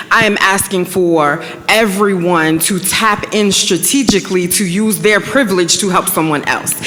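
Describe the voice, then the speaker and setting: A woman's medium-pitched voice with ordinary pitch variation and a moderate pace, over noticeable background noise. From Newport News, Virginia. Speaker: panel speaker on diversity policy. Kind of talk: panel discussion Q&A.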